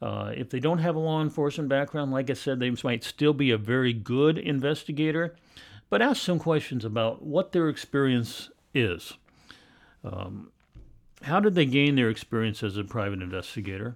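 A man's intonation is lively. He talks at a moderate pace over a quiet background. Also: medium pitch for a man. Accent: Pacific Northwest. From Portland, Oregon. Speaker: private investigator, retired police captain. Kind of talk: interview.

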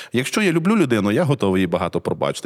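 This man talks at a very fast pace with vocal fry. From central Ukraine, Cherkasy region. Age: 40s. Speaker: literary scholar and museum director. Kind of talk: casual interview conversation.

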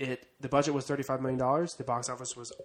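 Natural-sounding read-aloud delivery

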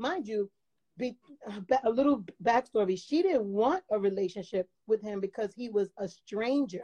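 A woman with a fairly high pitch speaks at a moderate pace, using ordinary pitch variation. The sound is dry and close, with no echo. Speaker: caller. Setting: video call. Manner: loud talker.

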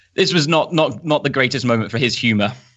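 Here a man speaks in a plain, everyday voice. He talks at a fairly quick pace with ordinary pitch variation. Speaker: football journalist and commentator. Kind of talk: casual chat, podcast interview.

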